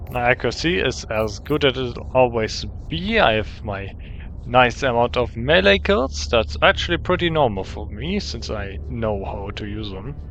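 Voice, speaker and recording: A man speaks with a German accent at medium pitch. His pitch swings very widely at a moderate pace. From Germany. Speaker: gaming YouTuber. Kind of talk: gameplay commentary. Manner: halting.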